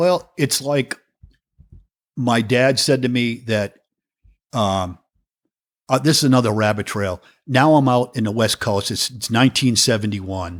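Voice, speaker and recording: Taking long, frequent pauses, a man with a slight New England accent speaks at a fairly slow pace in a medium pitch with ordinary pitch variation, in a very clean recording with a silent background. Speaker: professional drummer. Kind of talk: interview conversation.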